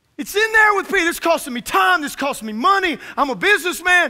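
A man talks fast at an extremely high pitch. His tone is bright and sharp, with big pitch swings.

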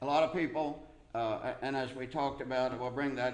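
With audible room echo, a man talks at a fairly slow pace, medium pitch and ordinary pitch variation.

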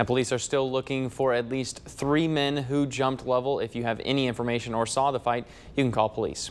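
This man talks at a fairly quick pace in a monotone, flat delivery. His loudness stays very even. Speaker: TV news reporter. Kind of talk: TV news report. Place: studio.

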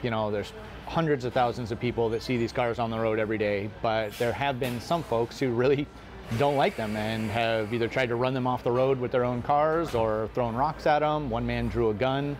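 A man at a fairly quick pace with fairly even intonation, faint music in the background. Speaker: interviewed local reporter. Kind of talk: interview answer. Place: cafe. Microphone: lapel.

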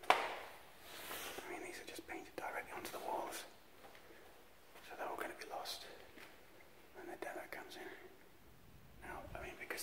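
Loud background noise, with speech at a fairly quick pace. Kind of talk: casual vlog commentary. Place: hall. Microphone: phone near.

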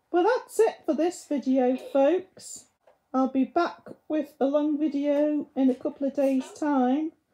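The setting is quiet. A woman speaks fairly slowly, her pitch varying in an ordinary way. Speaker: reviewer. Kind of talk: casual vlog chat. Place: home room. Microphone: camera far.

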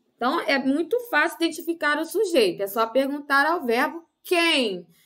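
Against a quiet background, a woman in a raised, projected voice speaks at a fairly slow pace, her high, bright, sharp tone moving in very wide pitch swings. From Brazil. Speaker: primary school teacher. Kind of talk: lesson for children. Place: home room.

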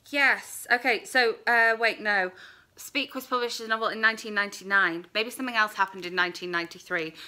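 Against a quiet background, a woman speaks at a moderate pace with a bright, sharp tone, a fairly high pitch, ordinary pitch variation and big swings in loudness. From UK. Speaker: book vlogger; book reviewer. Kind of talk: casual vlog review. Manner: rambling, hesitant. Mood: earnest, thoughtful. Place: home room. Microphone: phone near.

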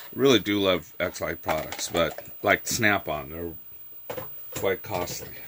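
Noticeable background noise sits behind a man whose very deep, low voice moves at a fairly slow pace with ordinary pitch variation. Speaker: retro computer YouTuber. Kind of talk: tutorial. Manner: casual, folksy.

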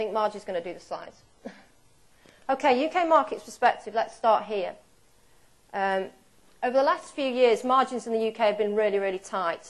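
Speaking with a British accent, a woman moves at a fairly quick pace and uses lively intonation in a fairly high pitch. She leaves long, frequent pauses. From UK. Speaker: dairy cattle breeding expert; presenter. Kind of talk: conference seminar talk. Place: hall.

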